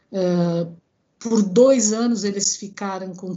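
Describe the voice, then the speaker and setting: A woman speaks with lively intonation at a medium pitch. Hers is an unremarkable speaking voice. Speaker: engineer and professor. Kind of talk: interview.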